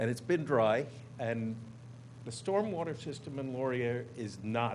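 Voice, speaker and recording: Vocal fry at a moderate pace, with ordinary pitch variation and audible room echo. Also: man. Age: 70s. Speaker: neighbor testifying at public hearing. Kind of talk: public hearing testimony.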